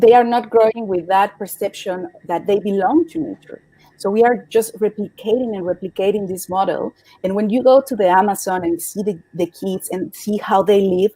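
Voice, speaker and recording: A woman speaks at a medium pitch and moderate pace in a dark, mellow tone with ordinary pitch variation and a dry, close sound with no echo. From Mexico City, Mexico. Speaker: climate activist. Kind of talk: interview. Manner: halting, many repetitions and fillers.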